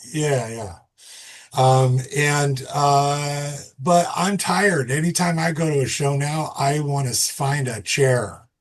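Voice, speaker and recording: A man's fairly high, somewhat breathy voice at a very slow pace, with ordinary pitch variation and audible room echo. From Massachusetts. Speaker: musician and festival founder. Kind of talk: casual podcast conversation.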